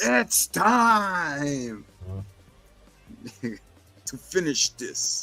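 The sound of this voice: A put-on character voice, low-to-middle in pitch with very wide pitch swings, over music in the background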